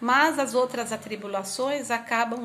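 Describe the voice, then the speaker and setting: A high-pitched woman's voice, fairly even in intonation, moves at a moderate pace against noticeable background noise. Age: 50s. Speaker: spiritist lecturer. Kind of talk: religious talk.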